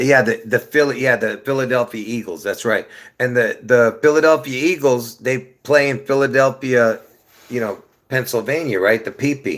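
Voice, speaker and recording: A normal speaking voice at a moderate pace with fairly even intonation, in a very clean recording with a silent background. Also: man, medium pitch for a man. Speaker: live streamer. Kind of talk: casual live stream chat.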